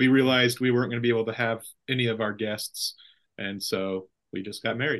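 At a very fast pace, a man with an American accent speaks with fairly even intonation. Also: medium pitch for a man, quiet background. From California Central Valley. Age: 30s. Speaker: pastor. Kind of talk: casual chat.

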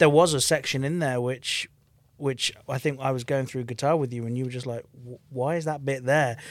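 A man with a Birmingham accent speaks at a moderate pace and medium pitch. His intonation is fairly even, and the recording is very clean with a silent background. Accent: Birmingham English (Brummie). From England, Birmingham. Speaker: rock musician, lead vocalist and bassist. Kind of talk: casual interview.

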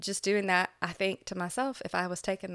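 A woman with an American accent speaks at a moderate pace in an unremarkable speaking voice. The recording is very clean, with a silent background. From Florida. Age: 40s. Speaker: dental hygienist and cancer survivor. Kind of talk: interview testimony.

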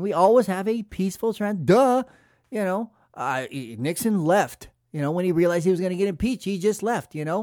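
In a very clean recording with a silent background, a man with an American accent speaks fairly quickly at a high pitch with lively intonation. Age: 40s. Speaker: podcast host. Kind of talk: political commentary monologue.

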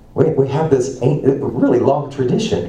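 Fairly slow speech from a man, noticeable background noise underneath. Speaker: preacher. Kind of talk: sermon. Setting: church.

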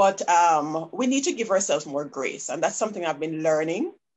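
A woman with a Jamaican accent speaks with lively intonation. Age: 40s. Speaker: business consultant. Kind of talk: interview conversation. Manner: soft-spoken.

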